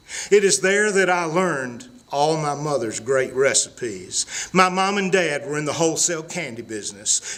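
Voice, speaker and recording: This man has a Southern accent and a fairly high pitch. He talks at a moderate pace with lively intonation over noticeable background noise. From US South, Mississippi. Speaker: storyteller. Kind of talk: storytelling.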